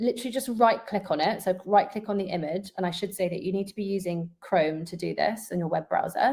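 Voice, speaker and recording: Her voice has a dark, mellow tone and a medium pitch. The woman talks at a fairly quick pace with ordinary pitch variation. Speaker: interior designer. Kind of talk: webinar presentation. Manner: fast.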